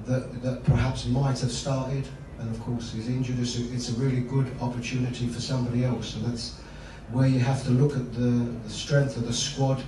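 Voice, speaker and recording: A man's voice comes through with clear room echo and noticeable noise behind it. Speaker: football head coach. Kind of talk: press conference answer. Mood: calm, measured. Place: hall.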